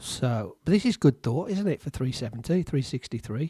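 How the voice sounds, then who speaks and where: A man with an English accent speaks at a fairly quick pace, medium in pitch and somewhat breathy. His intonation is lively, and the sound is dry and close with no echo. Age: 60s. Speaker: amateur chess streamer. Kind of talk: casual commentary while playing chess. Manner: hesitant, repeats words.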